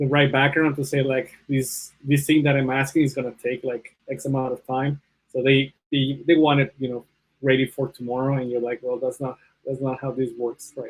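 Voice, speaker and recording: With a Spanish accent, a man speaks at a fairly high pitch in a monotone, flat intonation. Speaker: bioinformatics panelist. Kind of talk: panel discussion. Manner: hesitant, many fillers.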